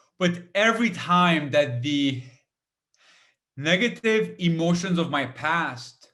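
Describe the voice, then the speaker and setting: Very slow and full of long, frequent pauses, a man speaks at a high pitch with lively intonation. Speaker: motivational speaker and comedian. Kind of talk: keynote talk. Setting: webinar. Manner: halting, repeated words.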